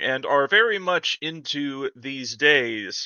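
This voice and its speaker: The speaker talks very slowly in a Minnesota accent. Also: man. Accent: Minnesota accent, noticeable on the word sure. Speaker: tech YouTuber. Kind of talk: casual tech explainer monologue. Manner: animated.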